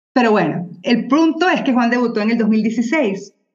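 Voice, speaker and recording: A woman with a Venezuelan accent talks, and the room's echo can be heard. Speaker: journalist and mother of children with diabetes. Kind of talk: casual interview conversation.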